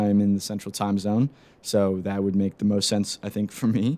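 A man with an American accent speaks at fairly low pitch and a moderate pace. The recording is very clean, with a silent background. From US Pacific Northwest, Seattle. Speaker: sports podcast host, college student. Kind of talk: solo podcast monologue.

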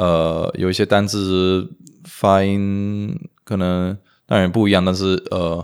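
Here a man with a very deep, low pitch speaks at a very slow pace. His intonation is monotone and flat on a very clean recording with a silent background. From US (Romanian immigrant family). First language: Romanian (speaking Chinese). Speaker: language enthusiast, improv performer. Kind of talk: interview. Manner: halting, frequent repetitions.

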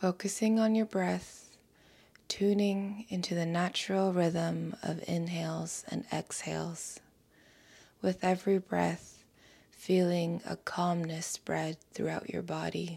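In a very clean recording with a silent background, a woman speaks at a very slow pace in a soothing tone. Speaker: meditation guide. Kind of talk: guided meditation, calm soothing instructions in a gentle hushed tone. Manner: slow, soft-spoken, soothing and unhurried with long pauses.

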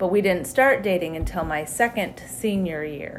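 With an American accent, a woman uses an ordinary speaking voice at a medium pitch with ordinary pitch variation. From Wyoming, US. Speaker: church member sharing testimony. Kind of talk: testimony.

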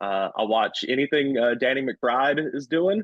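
A man with an American accent speaks at a fairly slow pace, his pitch varying in an ordinary way. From US South. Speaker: comedian. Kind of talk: casual chat. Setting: studio.

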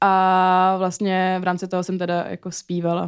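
Recorded very cleanly with a silent background, a woman speaks at a medium pitch. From Czech Republic. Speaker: singer-songwriter. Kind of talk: casual chat.

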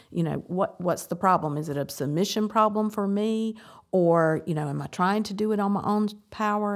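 A woman's plain, everyday voice at a medium pitch, fairly quick, with ordinary pitch variation, in a very clean recording over a silent background. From US South. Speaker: church member in recovery. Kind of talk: casual chat.

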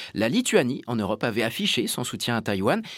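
Recorded very cleanly against a silent background, a man in an unremarkable speaking voice talks at a medium pitch and a moderate pace with lively intonation. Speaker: radio host. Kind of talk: radio interview. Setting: studio link from parliament. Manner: formal.

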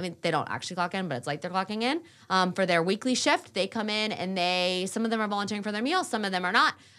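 In a very clean recording with a silent background, a woman with an American accent talks very fast at medium pitch, barely pausing, with lively intonation and a bright, sharp tone. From Raleigh, North Carolina, US South. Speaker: nonprofit cafe executive director. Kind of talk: interview.

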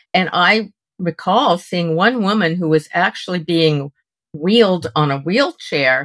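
A woman with a fairly low pitch and an unremarkable speaking voice talks at a fairly slow pace with lively intonation, recorded with a dry, close sound and no echo. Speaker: podcast co-host. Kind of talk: interview.

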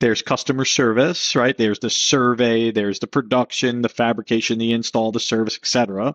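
A man with a plain, everyday voice, medium pitch, fairly even intonation, a fairly quick pace and hardly any pauses. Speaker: podcast co-host. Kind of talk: casual interview. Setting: video call.

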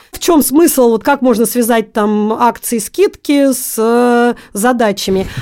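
A woman talks at a very slow pace with hardly any pauses, her high voice dark and mellow in tone. Her pitch varies in an ordinary way, while her loudness swings widely. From Russia, Magnitogorsk, Chelyabinsk region. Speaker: programming olympiad coach and teacher. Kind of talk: interview.

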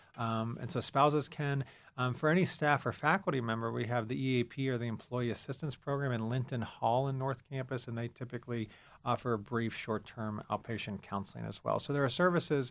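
On a very clean recording with a silent background, a man with an American accent and a plain, everyday voice speaks at medium pitch with ordinary pitch variation. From central Pennsylvania, rural. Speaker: university counseling center director. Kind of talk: interview.

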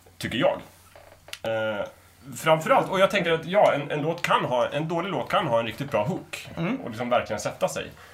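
A man talks at a fairly high pitch with very wide pitch swings. Noticeable background noise is audible. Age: 30s. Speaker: podcast panelist. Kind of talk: casual panel discussion.

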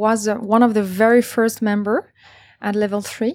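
This woman has a fairly high pitch. She speaks in a French accent. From France, Paris. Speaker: startup co-founder. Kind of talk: panel discussion.

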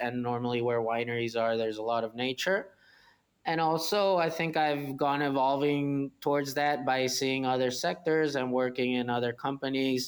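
The speaker talks at a moderate pace with a Spanish accent, in a very clean recording with a silent background. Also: man. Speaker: winery manager. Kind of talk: interview.

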